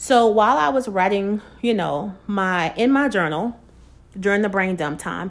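Recorded very cleanly with a silent background, a woman uses an ordinary speaking voice at medium pitch with ordinary pitch variation. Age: 40s. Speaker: inspirational podcast host. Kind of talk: casual devotional monologue. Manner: conversational.

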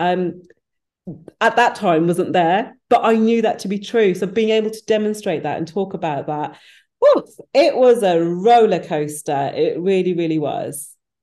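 Spoken in a West Midlands accent, the voice has a dark, mellow tone and ordinary pitch variation. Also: woman, medium pitch for a woman, moderate pace. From English Midlands (Wolverhampton), British Punjabi Sikh family. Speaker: business founder and HR professional. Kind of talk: interview.

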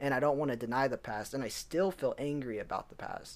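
A man with an ordinary speaking voice talks at a fairly quick pace in a fairly high pitch. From US Southwest, Albuquerque, New Mexico. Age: 20s. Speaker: podcast co-host. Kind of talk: casual chat.

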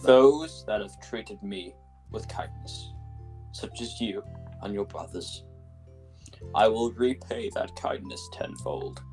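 With clear music in the background, a man uses a put-on character voice at a fairly slow pace. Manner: cold, menacing, grandiose.

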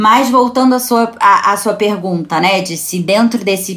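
Lively in intonation, a woman speaks at a medium pitch and a very slow pace. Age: 30s. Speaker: culture journalist. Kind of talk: casual chat. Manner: halting.

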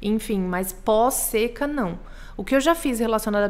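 This woman has a normal speaking voice with a fairly high pitch. She talks at a moderate pace. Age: 20s. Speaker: botanical artist. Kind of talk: casual interview chat.

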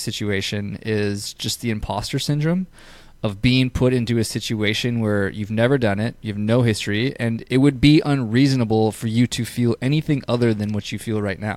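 Recorded very cleanly over a silent background, a plain, everyday voice moves at a moderate pace with ordinary pitch variation. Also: man. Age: 30s. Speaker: podcast host and fitness business owner. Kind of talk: casual chat.

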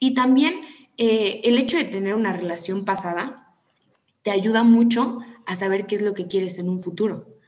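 Audible room echo surrounds a woman talking at a moderate pace with medium pitch and ordinary pitch variation. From Mexico, Tampico. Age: 20s. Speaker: psychology student. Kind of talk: casual chat.

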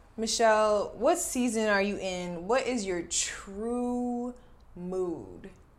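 A woman with an American accent speaks very slowly at a fairly high pitch, with audible room echo. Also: ordinary pitch variation. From New Jersey. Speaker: podcast host, actress and brand marketer. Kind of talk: casual chat.

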